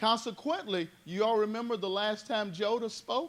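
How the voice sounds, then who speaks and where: A man talks loudly at a fairly slow pace. His pitch is high, with ordinary pitch variation. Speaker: Bible study teacher. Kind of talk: Bible study teaching. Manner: animated.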